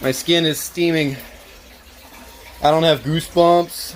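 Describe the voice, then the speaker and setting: An excited tone amid noticeable background noise. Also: man. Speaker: home gardener keeping chickens. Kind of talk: casual talk to camera. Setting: outdoors. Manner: hesitant, pauses and stutters; excited yelling.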